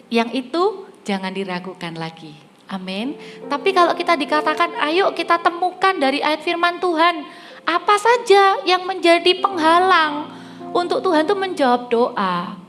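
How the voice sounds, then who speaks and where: With music in the background, a speaker talks at a moderate pace with lively intonation. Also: woman, extremely high pitch for a woman. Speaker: preacher. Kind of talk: sermon.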